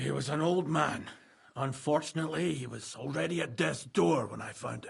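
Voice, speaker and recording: A raspy, put-on character voice moves at a moderate pace, with big swings in loudness. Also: man, fairly high pitch for a man. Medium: video game. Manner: gruff, guarded.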